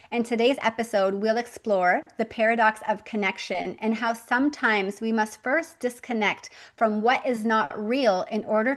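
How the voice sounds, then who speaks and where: Spoken at a moderate pace, this is a plain, everyday voice. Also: woman. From Canada. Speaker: podcast host. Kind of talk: podcast interview.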